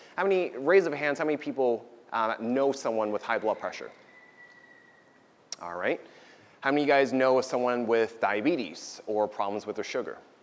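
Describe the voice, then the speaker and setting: A man with an American accent talks at a fairly quick pace in a medium pitch, his intonation lively and broken by long, frequent pauses. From US Northeast, New Jersey. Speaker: doctor giving a talk. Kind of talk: lecture. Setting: stage with audience at a potluck. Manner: loud.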